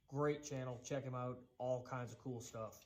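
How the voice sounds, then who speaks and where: A man speaks with an American accent at a medium pitch. Audible room echo surrounds his voice. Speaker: woodworking youtuber. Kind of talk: tutorial. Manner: casual, conversational.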